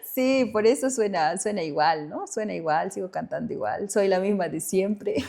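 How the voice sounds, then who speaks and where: Over noticeable background noise, a woman speaks at a medium pitch and moderate pace, with lively intonation and hardly any pauses. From Bolivia, Tarija (Chaco region). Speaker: singer-songwriter. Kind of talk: interview conversation.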